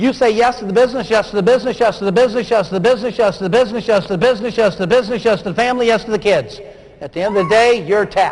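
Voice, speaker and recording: Very fast speech from a high-pitched man with an American accent, ordinary pitch variation and noticeable background noise. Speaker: motivational speaker. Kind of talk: keynote speech. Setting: stage with audience.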